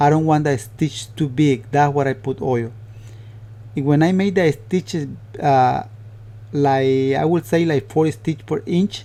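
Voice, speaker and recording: A somewhat breathy man's voice, fairly high in pitch, with a dark, mellow tone, a Spanish accent and long, frequent pauses. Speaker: upholsterer. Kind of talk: tutorial. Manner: halting.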